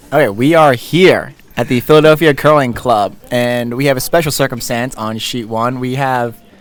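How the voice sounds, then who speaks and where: Music plays in the background. A man speaks over it with fairly even intonation. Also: medium pitch for a man, moderate pace, hardly any pauses. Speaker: curling commentator. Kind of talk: live commentary. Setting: curling club. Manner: quiet, mellow.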